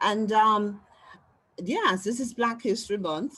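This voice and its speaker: Female speech with ordinary pitch variation and a quiet background. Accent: Caribbean. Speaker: social worker and spiritual counselor. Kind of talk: live webinar Q&A, audience member sharing.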